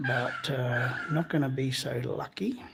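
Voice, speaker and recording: Soft-spoken and at a medium pitch, a man with an Australian accent uses ordinary pitch variation over noticeable background noise. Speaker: amateur science vlogger. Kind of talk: live stream narration. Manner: halting.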